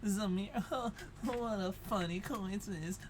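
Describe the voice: Someone speaks in a nasal put-on character voice at a middle pitch and a fairly slow pace, with noticeable background noise.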